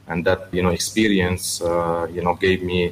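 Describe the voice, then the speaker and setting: A man with a very deep, low voice talks at a moderate tempo as noticeable noise sounds in the background. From Lebanon (Beirut), then China as a teen. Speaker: businessman and watch collector. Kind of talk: radio interview. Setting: radio studio, live broadcast. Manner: hesitant, many filler sounds.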